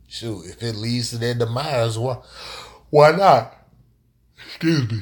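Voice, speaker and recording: Somewhat breathy, a man speaks with ordinary pitch variation and big swings in loudness. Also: medium pitch for a man. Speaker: live streamer. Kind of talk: casual live stream talk. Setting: live stream. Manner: halting, repetitive.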